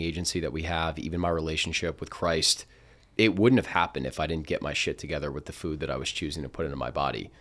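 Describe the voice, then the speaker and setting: Someone speaks at a very fast pace with a New Jersey accent and ordinary pitch variation, on a very clean recording with a silent background. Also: man. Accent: American, New Jersey. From New Jersey, Princeton. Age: 20s. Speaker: food company founder and podcast co-host. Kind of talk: casual interview chat.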